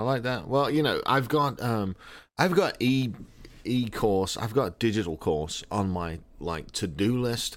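In an American accent, a man with a normal speaking voice and medium pitch talks at a fairly slow pace on a very clean recording with a silent background. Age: 40s. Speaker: podcast host. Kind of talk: casual chat.

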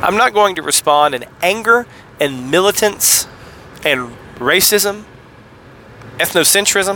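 With a Southern US accent, a man speaks at a fairly slow pace in a high pitch, with lively intonation, big swings in loudness, long, frequent pauses and noticeable background noise. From US South, Tennessee. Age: 40s. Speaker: podcast host. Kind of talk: solo podcast monologue on theology. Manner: usually excitable, holding back.

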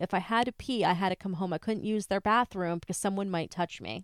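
In a normal speaking voice, a woman with a medium pitch talks at a fairly quick pace with ordinary pitch variation, her dry, close sound free of echo on a very clean recording with a silent background. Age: 30s. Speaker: true crime podcast co-host. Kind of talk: reading aloud; casual chat.

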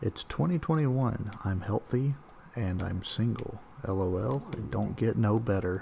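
A man whispers at a very slow pace. His voice sounds somewhat breathy. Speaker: podcast co-host. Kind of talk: casual chat. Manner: whispering.

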